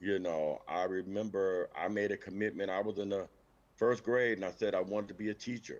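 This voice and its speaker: Using an unremarkable speaking voice with an American accent, a man talks at a fairly quick pace with fairly low pitch and fairly even intonation. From Benton Harbor, Michigan, US Midwest. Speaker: teacher. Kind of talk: interview. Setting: livestream.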